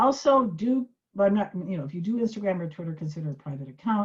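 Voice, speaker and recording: A woman talks at a fairly quick pace with lively intonation and a medium pitch. Her voice is somewhat breathy against a quiet background. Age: 70s. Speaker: social media tutor. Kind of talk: tutorial. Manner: animated.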